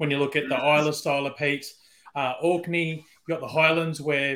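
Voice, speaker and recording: At a fairly quick pace, a man with an Australian accent speaks at a fairly high pitch with fairly even intonation. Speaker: whisky brand ambassador. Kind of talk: casual chat.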